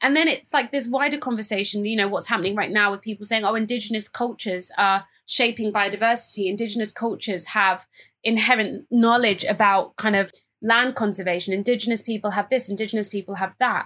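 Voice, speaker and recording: At a very fast pace, a woman with a British accent talks in a bright, sharp tone at a fairly high pitch with fairly even intonation, on a very clean recording with a silent background. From England, Cambridge, of Ghanaian parents. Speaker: fashion entrepreneur and sustainability campaigner. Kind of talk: interview conversation.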